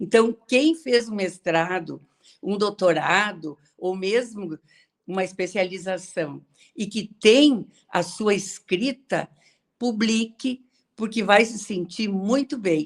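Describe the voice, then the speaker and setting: Very slowly, a woman speaks at a medium pitch with lively intonation. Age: 70s. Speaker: retired teacher and author. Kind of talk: online interview. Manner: halting.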